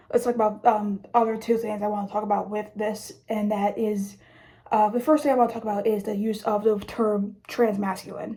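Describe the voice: A woman's raspy, put-on character voice at a fairly high pitch, with monotone, flat intonation and a fairly quick pace.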